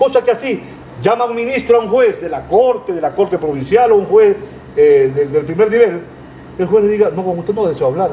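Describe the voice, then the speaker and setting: A man's high-pitched, fairly quick voice with lively intonation over noticeable background noise. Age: 60s. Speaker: lawyer. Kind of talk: interview. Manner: emphatic, repetitive.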